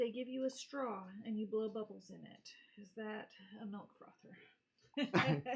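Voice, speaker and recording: Somewhat breathy, a woman speaks very slowly with an American accent. Her pitch is fairly high. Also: big swings in loudness. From North Carolina. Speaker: co-host. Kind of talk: casual chat.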